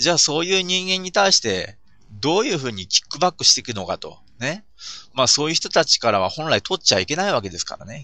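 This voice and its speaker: His pitch swings very widely, with vocal fry. The man talks at a very fast pace. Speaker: podcaster. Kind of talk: solo monologue podcast. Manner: many filler sounds, hesitant.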